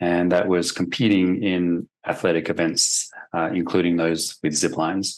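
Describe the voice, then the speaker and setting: Moderate pace and fairly even intonation, with a slight Australian accent. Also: man. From Australia, Sydney. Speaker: forensic expert witness. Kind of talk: deposition testimony. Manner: hesitant, many fillers.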